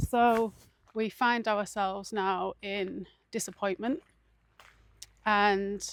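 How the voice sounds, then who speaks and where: A woman's medium-pitched voice with an English accent and monotone, flat intonation. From England. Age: 40s. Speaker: mindfulness vlogger. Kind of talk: casual vlog talk.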